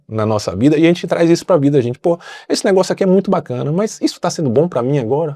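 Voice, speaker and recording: A man's dark, mellow voice at a very fast pace, with very wide pitch swings, over a quiet background. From Brazil. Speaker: pilgrim sharing travel experience. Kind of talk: podcast interview, casual storytelling. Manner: animated, colloquial.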